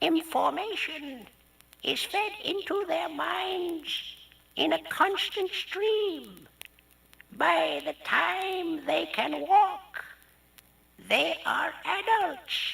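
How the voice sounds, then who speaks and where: A put-on character voice at extremely high pitch, very slow, with long and frequent pauses. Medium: read story.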